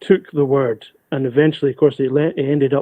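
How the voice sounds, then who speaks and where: Fairly quick and fairly high-pitched, a man speaks with a Scottish accent. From east coast of Scotland. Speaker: graphic novelist, keynote speaker. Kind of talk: webinar talk.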